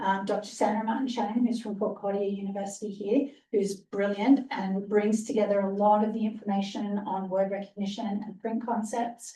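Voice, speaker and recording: A woman speaks at a moderate pace with a fairly high pitch and monotone, flat intonation. Her tone is dark and mellow, and somewhat breathy. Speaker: conference presenter on literacy education. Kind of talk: conference presentation.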